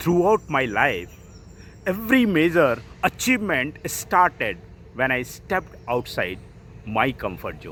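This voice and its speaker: With an Indian accent, a man speaks at a fairly slow pace in a fairly high, bright, sharp voice with vocal fry. His pitch swings very widely, his loudness shifts a lot, and he takes long, frequent pauses. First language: Hindi. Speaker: author and IT professional. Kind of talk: motivational talk.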